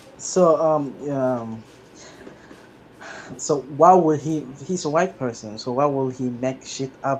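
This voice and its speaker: A man with a fairly high voice and ordinary pitch variation speaks very slowly, leaving long, frequent pauses. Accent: non-native. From Somalia. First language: not English. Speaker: commenter joining stream. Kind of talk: heated debate. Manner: halting.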